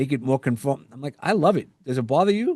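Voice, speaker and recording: Against a quiet background, a man with a New York accent talks at a fairly quick pace in a fairly high pitch with ordinary pitch variation. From US Northeast, New York. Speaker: podcast host and executive coach. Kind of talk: interview conversation. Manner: halting, with fillers and restarts.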